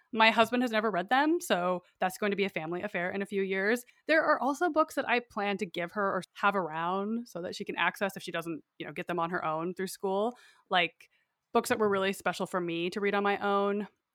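In an American accent, a woman uses an ordinary speaking voice at medium pitch and a fairly quick pace, with ordinary pitch variation and a dry, close sound with no echo. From northern Idaho. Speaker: podcast host, guest. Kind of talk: casual chat. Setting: remote recording.

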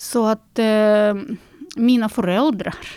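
Her tone is dark and mellow, set at a fairly high pitch for a woman. The very clean recording has a silent background and a dry, close sound with no echo. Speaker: concert pianist. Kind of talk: interview. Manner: halting.

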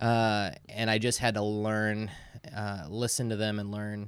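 Here is a man with a Midwestern American accent. His pitch sits fairly low. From Indiana, US Midwest. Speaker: pastor. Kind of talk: casual interview.

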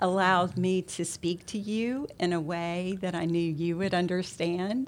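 Her tone dark and mellow, a woman talks at a medium pitch and a fairly slow pace. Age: 60s. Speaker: real estate association president, managing broker. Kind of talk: interview.

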